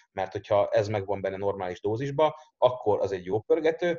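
A somewhat breathy man with a dark, mellow tone speaks at a fairly quick pace with lively intonation, the sound dry and close with no echo over a quiet background. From Hungary, Érd. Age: young. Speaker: strength coach. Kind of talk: casual chat.

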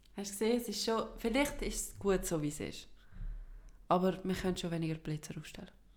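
With a Swiss accent, a woman speaks at a medium pitch and fairly quick pace, her intonation lively. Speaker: podcast co-host. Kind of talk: casual chat.

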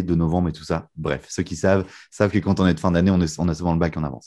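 This man's tone is dark and mellow. Behind him the background is quiet. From northern France, Lille. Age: 20s. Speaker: magician and mentalist. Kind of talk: casual interview.

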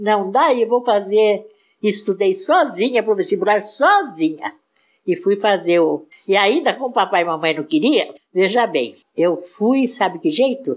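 The woman speaks at a fairly slow pace with a medium pitch. Her pitch swings very widely. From São Paulo state, Brazil. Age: 80s+. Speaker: retired agronomist. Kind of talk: casual interview. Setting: at home.

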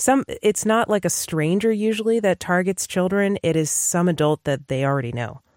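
A woman's ordinary speaking voice at medium pitch and moderate pace, with lively intonation and hardly any pauses, dry and close with no echo, on a very clean recording with a silent background. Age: 30s. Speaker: podcast co-host, doctor. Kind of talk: casual chat.

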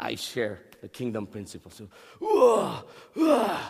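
A man with lively intonation, over noticeable background noise. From Philippines. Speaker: pastor. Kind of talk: sermon. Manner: halting, repeats words.

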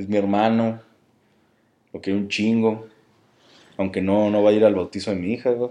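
A man talks at a moderate pace in a dark, mellow tone, his intonation monotone and flat. Long, frequent pauses break up his speech. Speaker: podcast host. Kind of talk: casual chat. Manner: stammering, repeats words.

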